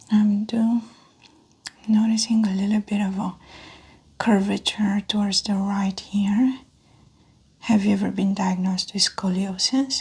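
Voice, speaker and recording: A soft-spoken woman talks at a medium pitch in a calm tone, monotone and flat. Her pace is fairly slow, with long, frequent pauses. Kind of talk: soft-spoken roleplay medical exam, clinical instructions to a patient. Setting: close-mic ASMR recording. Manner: soft-spoken, calm.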